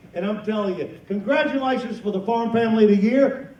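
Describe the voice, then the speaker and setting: A man with an American accent talks at a fairly quick pace, with audible room echo and noticeable background noise. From North Carolina. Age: 50s. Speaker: comedian and farmer. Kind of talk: stand-up.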